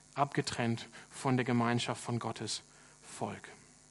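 Here a man is speaking. His pace is fairly slow. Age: 30s. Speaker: pastor. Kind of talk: sermon. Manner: hesitant with filler sounds.

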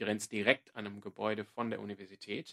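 The pace is moderate as a man speaks. The sound is dry and close, with no echo. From Australia, Sydney. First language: English (speaking German). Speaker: podcast co-host, church ministry worker. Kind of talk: casual chat.

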